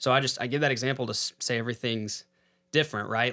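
A man with a Texan accent, very fast, at a medium pitch with fairly even intonation, on a very clean recording with a silent background. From Texas, San Angelo. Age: 30s. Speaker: real estate investor. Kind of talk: casual chat.

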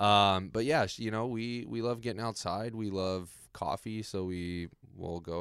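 A man with an American accent and an unremarkable speaking voice talks fairly slowly at a fairly low pitch with ordinary pitch variation. The recording is very clean, with a silent background. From Las Vegas and Southern California. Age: 20s. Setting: office.

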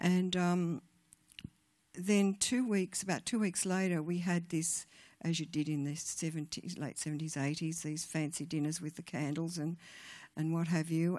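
A woman with an Australian accent speaks fairly slowly in a fairly low voice with a dark, mellow tone. Her intonation is fairly even, and the recording is very clean with a silent background. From Australia, rural New South Wales. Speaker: guest speaker at church women's event. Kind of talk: testimony.

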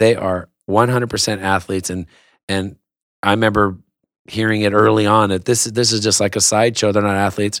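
A man with a Southern Californian accent speaks in a fairly low voice. His intonation is flat and monotone, and the recording is very clean with a silent background. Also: fairly quick pace. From Southern California, West Covina. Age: 50s. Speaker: action sports entrepreneur. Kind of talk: casual interview. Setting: studio. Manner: halting, many fillers and repeats.

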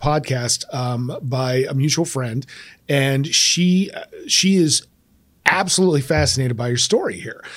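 Talking fairly slowly in a Midwestern American accent, a man with a fairly high voice uses lively intonation in a very clean recording with a silent background. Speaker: podcast host, former teacher. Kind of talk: interview. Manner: animated.

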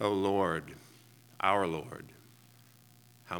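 The man's pitch is very deep and low. His speech is very slow. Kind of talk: reading aloud. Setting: church.

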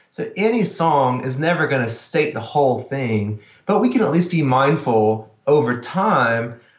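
Speaking at a moderate pace with lively intonation, a man with a fairly high voice is heard amid audible room echo. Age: 40s. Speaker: worship pastor. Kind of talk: casual chat.

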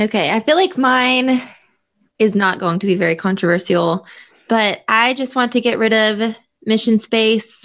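Pitched fairly high, a woman talks at a moderate pace in an unremarkable speaking voice with ordinary pitch variation. The recording is very clean and the background silent. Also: very even loudness. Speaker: podcast host guest. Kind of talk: casual chat.

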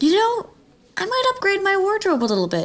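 Putting on a squeaky character voice, a woman talks at a fairly quick pace with extremely high pitch. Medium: actual play. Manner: eager, gushing, stumbling over words.

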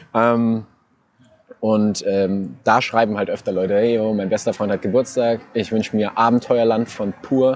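A man speaks at a fairly slow pace. His medium-pitched voice stays monotone and flat. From Saarland, Saarbrücken. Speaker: radio host. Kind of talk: casual chat. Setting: outdoors in a park.

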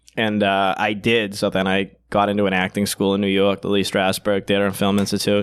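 Monotone, flat delivery at a fairly quick pace with very even loudness. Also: man, fairly low pitch for a man, hardly any pauses. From Boston. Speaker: comedian. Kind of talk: casual chat.

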